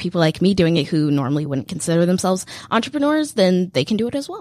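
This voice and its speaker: At a fairly quick pace comes an ordinary speaking voice. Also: woman. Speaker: student entrepreneur. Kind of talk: interview. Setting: radio studio.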